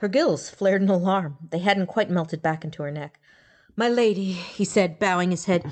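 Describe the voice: A plain reading-aloud voice with ordinary pitch variation.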